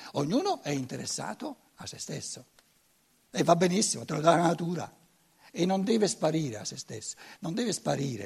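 A man with a high pitch talks at a fairly quick pace, his voice making very wide pitch swings and big swings in loudness, broken by long, frequent pauses. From Germany. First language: German (speaking Italian). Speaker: lecturer. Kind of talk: lecture. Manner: halting, frequent repetitions.

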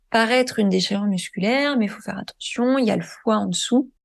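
A woman over a quiet background. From western France, Deux-Sèvres. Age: 30s. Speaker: journalist. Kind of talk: testimony.

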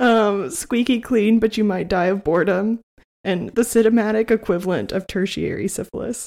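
A woman with a plain, everyday voice talks at a medium pitch and a moderate pace with ordinary pitch variation. The recording is very clean, with a silent background. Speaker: movie podcast co-host. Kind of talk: casual chat. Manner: laughs often.

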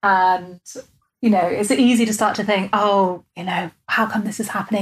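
A woman with an English accent speaks at a medium pitch and a moderate pace. Her voice is somewhat breathy, and her intonation is monotone and flat. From England. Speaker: podcast host, coach and hypnotherapist. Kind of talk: interview. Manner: calm measured cadence.

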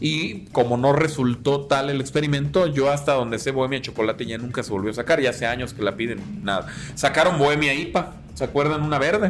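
A man with a fairly high voice talks at a fairly quick pace with hardly any pauses and ordinary pitch variation over noticeable background noise. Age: 30s. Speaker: beer YouTuber. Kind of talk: casual chat.

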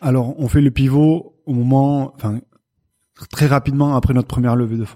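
Speaking at a moderate pace with long, frequent pauses, a man has a medium pitch, a dark, mellow tone and fairly even intonation. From southwest France, Béarn near Pau. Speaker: cheese company founder. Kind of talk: interview. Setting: company premises.

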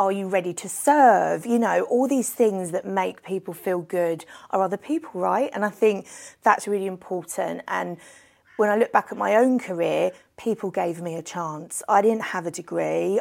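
A woman speaks with a London accent at a moderate pace and medium pitch. Her pitch varies in an ordinary way, and the recording is very clean with a silent background. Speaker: events industry director. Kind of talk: casual interview. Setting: hotel venue. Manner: animated.

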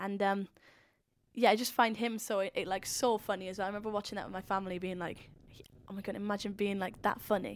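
A woman's medium-pitched, monotone, flat delivery in a very clean recording with a silent background. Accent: Welsh. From Wales, Swansea. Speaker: YouTube comedian. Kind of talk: interview. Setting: recording room at a rural retreat. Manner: casual, filler-heavy with frequent 'like'.

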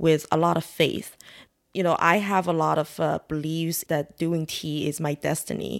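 A woman with a Chinese accent speaks at a fairly slow pace and a fairly low pitch. The recording is very clean, with a silent background. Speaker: tea house owner. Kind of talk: interview.

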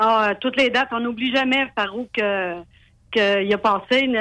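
With a bright, sharp tone, a woman speaks at a fairly high pitch with ordinary pitch variation. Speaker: racing driver's mother, author. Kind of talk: radio interview. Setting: phone call.

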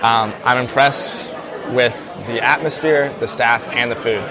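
There is crowd noise in the background. A man speaks at a medium pitch with an American accent. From US South, South Carolina. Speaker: food reviewer. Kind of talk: on-location food review. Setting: restaurant.

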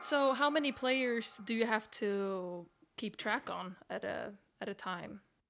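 At a fairly slow pace, a woman with a Swedish accent speaks in a fairly high pitch with ordinary pitch variation. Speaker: footballer and podcast host. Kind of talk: casual interview.

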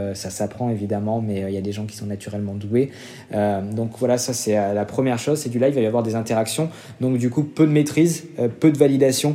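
A man at medium pitch speaks with ordinary pitch variation amid noticeable background noise. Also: fairly quick pace. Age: 30s. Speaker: marketing director at an influencer agency. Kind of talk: interview. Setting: remote recording. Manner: hesitant, many fillers.

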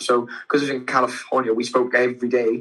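A man speaks with a British accent at a medium pitch. His tone is bright and sharp, and his intonation stays monotone and flat. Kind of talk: casual interview. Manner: halting; stammers when tired.

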